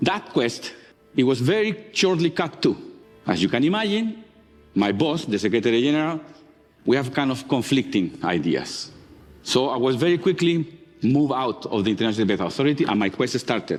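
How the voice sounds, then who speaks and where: Over music in the background, a man with a strong non-native accent talks at a fairly quick pace in a fairly high pitch with very wide pitch swings. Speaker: marine geologist. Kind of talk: conference talk.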